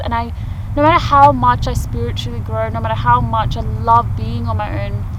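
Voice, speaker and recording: Noticeable background noise beneath talking at a moderate speed. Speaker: off-grid vlogger. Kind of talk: casual vlog monologue. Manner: halting, self-correcting.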